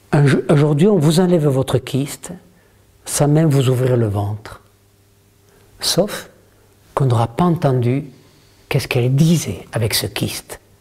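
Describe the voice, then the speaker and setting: The voice is somewhat breathy and dark and mellow in tone, with lively intonation, a fairly slow pace, and long, frequent pauses. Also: man, fairly high pitch for a man. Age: 70s. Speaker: author and communication trainer. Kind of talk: workshop talk to an audience. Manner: animated.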